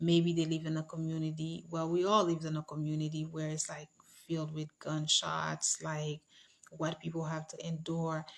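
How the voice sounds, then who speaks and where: This woman speaks at a moderate pace in a very deep, low voice with monotone, flat intonation. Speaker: livestream host. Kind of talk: casual livestream chat.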